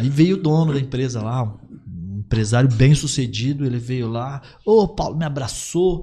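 The voice has a dark, mellow tone with a somewhat breathy quality and lively intonation. It moves at a moderate pace with hardly any pauses. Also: man, medium pitch for a man. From Paraná, Brazil (gaúcho family). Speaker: credit agent, former hot dog vendor. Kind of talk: casual podcast interview.

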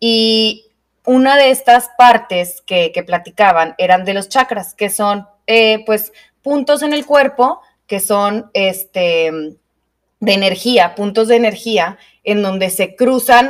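A woman talks at a very slow pace. Her voice is fairly high-pitched, with ordinary pitch variation. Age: 20s. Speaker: podcast co-host, yoga teacher. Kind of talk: casual chat. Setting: studio.

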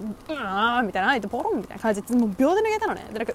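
Over noticeable background noise, a woman speaks very fast at a high pitch with very wide pitch swings. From Japan. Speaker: podcast host, university student. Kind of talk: casual monologue. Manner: animated.

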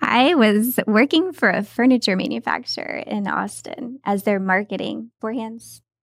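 In an unremarkable speaking voice, a woman with an American accent talks at a fairly slow pace with hardly any pauses, her pitch fairly high and her intonation lively. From Texas. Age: 40s. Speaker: interior designer and business owner. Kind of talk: casual interview chat.

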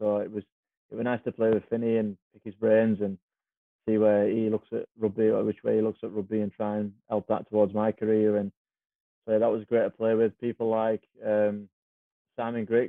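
A man with a Cumbrian accent speaks at a moderate pace in a fairly low, flat monotone, with long, frequent pauses and big swings in loudness. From Cumbria, northern England. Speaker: professional rugby league player. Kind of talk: casual chat. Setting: podcast interview.

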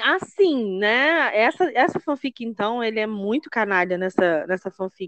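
Speaking at a fairly slow pace with hardly any pauses, a woman with a fairly high pitch makes very wide pitch swings, recorded dry and close with no echo. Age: 40s. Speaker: podcast host. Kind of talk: casual chat.

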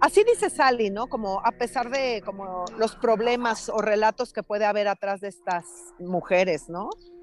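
Over music in the background, a woman speaks at a moderate pace with ordinary pitch variation in a dry, close sound with no echo. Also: fairly high pitch for a woman. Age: 50s. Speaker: yoga teacher and choreographer. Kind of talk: casual conversation. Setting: walking outdoors on a city street, remote call.

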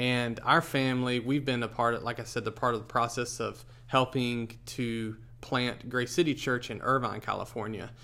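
A man with an American accent speaks at a moderate pace in a medium-pitched, bright and sharp voice with flat, monotone intonation. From US South, Charlotte area of North Carolina. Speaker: pastor. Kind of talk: casual interview.

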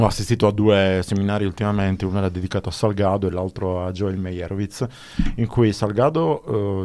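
On a very clean recording with a silent background, a man speaks at a moderate pace. His pitch is fairly low, with fairly even intonation. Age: 50s. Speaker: radio host. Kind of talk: radio interview. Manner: halting.

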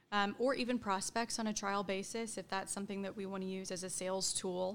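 A woman with an American accent speaks in an unremarkable speaking voice at a medium pitch, at a fairly quick pace and with fairly even intonation, on a very clean recording with a silent background. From Oklahoma, US (Edmond). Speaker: employee benefits director. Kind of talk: interview.

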